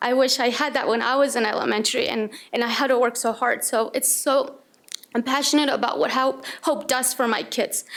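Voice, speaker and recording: Woman's high voice in a Spanish accent, fairly quick pace, fairly even intonation, very even loudness, noticeable background noise. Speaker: school staff member speaking at board meeting. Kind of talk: public comment. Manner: halting, repeating words.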